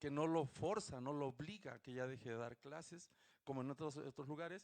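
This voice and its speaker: A man speaks fairly quickly in a fairly high pitch with ordinary pitch variation. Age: 60s. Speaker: audience member at book presentation. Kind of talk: audience comment at book presentation. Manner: halting.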